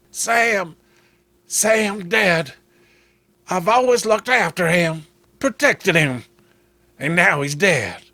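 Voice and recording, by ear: A man's put-on character voice, high-pitched and bright with a sharp edge, at a slow pace with ordinary pitch variation and long, frequent pauses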